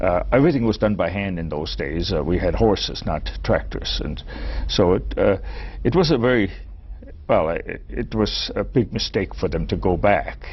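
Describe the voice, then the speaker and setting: A man speaks with a German accent at a moderate pace. Noticeable background noise is present. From Chicago and rural Germany. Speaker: retired physics professor. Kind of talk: interview. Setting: studio. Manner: halting, repeats words.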